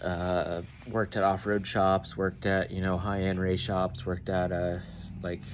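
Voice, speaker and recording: A man speaks at a very deep, low pitch and a moderate pace. His intonation is monotone and flat. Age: 40s. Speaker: off-road fabricator and welder. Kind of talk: casual vlog introduction. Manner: halting, many fillers.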